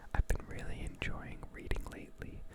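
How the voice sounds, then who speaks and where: Someone whispers at a fairly slow pace in a calm tone. Noticeable background noise sits underneath. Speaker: ASMR creator. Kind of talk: casual talk to camera. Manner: soft-spoken, calm.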